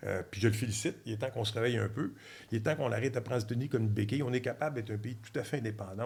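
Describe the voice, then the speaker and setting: A medium-pitched man's voice with a Quebec accent and vocal fry. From Quebec, Trois-Rivières. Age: 60s. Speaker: former diplomat and energy expert. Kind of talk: podcast interview. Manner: animated.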